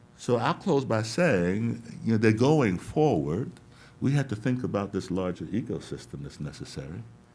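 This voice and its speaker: The pace is moderate, and vocal fry runs through the voice. The pitch swings very widely. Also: man, fairly low pitch for a man. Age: 60s. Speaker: education reform researcher. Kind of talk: panel talk. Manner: animated.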